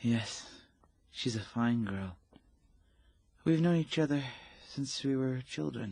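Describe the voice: A man's put-on character voice, slow and lively in intonation, at a medium pitch with vocal fry and a slightly mellow tone.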